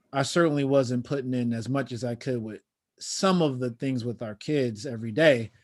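Recorded very cleanly with a silent background, a man with an American accent speaks at medium pitch and a moderate pace in an unremarkable speaking voice with ordinary pitch variation. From Chicago. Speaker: podcast host. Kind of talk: interview conversation.

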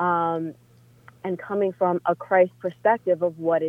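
Her voice is an ordinary speaking voice, a woman's at fairly low pitch with fairly even intonation. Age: 30s. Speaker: caller. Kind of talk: casual chat.

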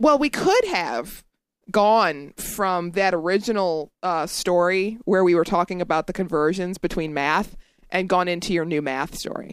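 Speaking fairly slowly with an American accent, a woman keeps a medium pitch and ordinary pitch variation. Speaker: podcast co-host. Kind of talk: casual chat. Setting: studio.

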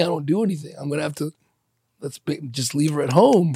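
This man speaks at a very fast pace. His tone is dark and mellow, with ordinary pitch variation. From Ukraine. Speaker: podcast host. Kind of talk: casual chat.

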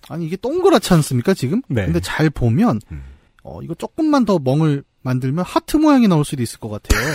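Recorded dry and close with no echo, a man talks at a fairly quick pace with big swings in loudness. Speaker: podcast co-host. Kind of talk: casual chat.

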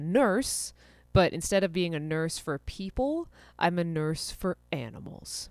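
With a normal speaking voice, a woman talks at a moderate pace in a fairly low pitch with lively intonation, on a very clean recording with a silent background. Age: 30s. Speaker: veterinary technician and podcast host. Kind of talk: solo podcast monologue. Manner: casual with many fillers and false starts.

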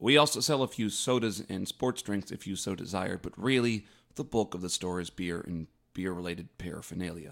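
A man's very deep, low voice at a moderate pace with ordinary pitch variation, in a very clean recording with a silent background. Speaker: podcast co-host. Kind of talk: comedic podcast banter. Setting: studio. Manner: mock-formal, hesitant, comedic.

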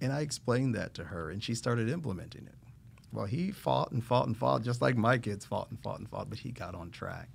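With an American accent and vocal fry, a man speaks at medium pitch and a fairly quick pace, with very wide pitch swings and big swings in loudness. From Indiana, US Midwest. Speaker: nonprofit board member and healthcare company executive. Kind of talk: casual interview. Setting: studio.

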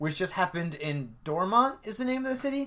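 The speaker is a man with a high pitch. He uses lively intonation. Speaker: podcast co-host, college student. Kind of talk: casual chat.

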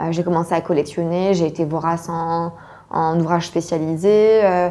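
Delivered in a normal speaking voice, the words come at a fairly slow pace and the intonation stays fairly even. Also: woman. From Senegal. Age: 20s. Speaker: art gallery founder. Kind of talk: interview. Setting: office.

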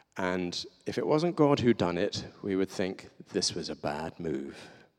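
A man talks at a fairly slow pace in a southern English accent. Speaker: visiting preacher. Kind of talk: sermon. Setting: church. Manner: halting.

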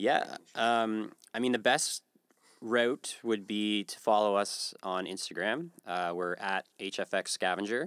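A man's normal speaking voice, fairly low in pitch with ordinary pitch variation, at a fairly slow pace in a dry, close sound with no echo. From Atlantic Canada. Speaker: community project organizer. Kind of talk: casual interview.

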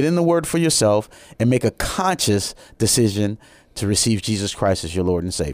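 In a very clean recording with a silent background, a man with an American accent speaks in a plain, everyday voice, with lively intonation and a fairly quick pace. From US Midwest, Chicago. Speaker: pastor. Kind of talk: radio interview.

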